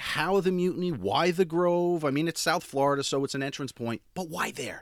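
Against a silent background in a very clean recording, a man with a high pitch and lively intonation speaks at a moderate pace with hardly any pauses. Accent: American. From northern New Jersey. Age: 40s. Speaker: podcast host. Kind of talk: casual interview.

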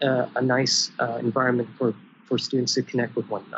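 A man at medium pitch and moderate pace, in an ordinary speaking voice. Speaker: university student. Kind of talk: interview. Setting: video call.

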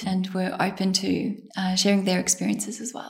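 A woman's somewhat breathy voice in a monotone, flat intonation. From Bosnia. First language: Bosnian. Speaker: surgical trainee. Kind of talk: interview.

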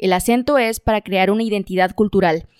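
A woman with a northern Mexican accent speaks at a moderate pace and a fairly high pitch. The sound is dry and close with no echo, on a very clean recording with a silent background. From northern Mexico. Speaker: podcast co-host. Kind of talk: casual chat.

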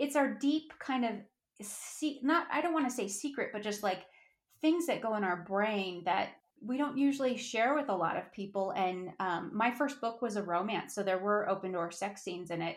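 A woman with an American accent uses a normal speaking voice, fairly high-pitched, with lively intonation at a moderate pace. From Colorado, US. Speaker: author. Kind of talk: interview.

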